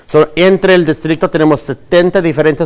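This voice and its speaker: With ordinary pitch variation, a man speaks very fast. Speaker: school district administrator. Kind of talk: bilingual information presentation.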